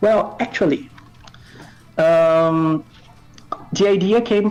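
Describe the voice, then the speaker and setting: This man's voice sits at a fairly high pitch, with a Brazilian accent. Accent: Brazilian, non-native English. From North Brazil. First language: Portuguese. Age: 20s. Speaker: indie game developer. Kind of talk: interview. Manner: hesitant, many fillers.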